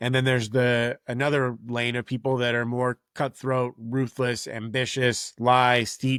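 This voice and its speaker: A man speaks at a medium pitch. The recording is very clean, with a silent background and a dry, close sound with no echo. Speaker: parenting podcast host. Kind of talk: solo podcast monologue. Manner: casual.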